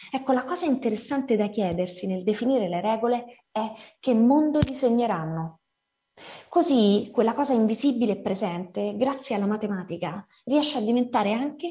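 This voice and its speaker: A woman speaks at a fairly high pitch and a fairly quick pace, with lively intonation. Her tone is dark and mellow. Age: 40s. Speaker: writer and editor. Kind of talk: lecture.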